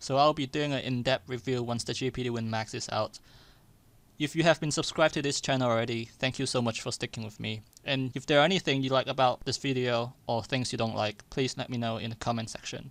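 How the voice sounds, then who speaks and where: The speaker talks at a very fast pace with a non-native accent. Intonation stays fairly even. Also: man, medium pitch for a man, very clean recording, silent background. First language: not English. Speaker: tech YouTuber. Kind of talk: product review. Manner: scripted.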